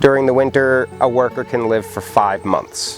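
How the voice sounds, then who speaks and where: Ordinary pitch variation over music in the background. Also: man. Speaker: beekeeping teacher. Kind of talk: class lecture.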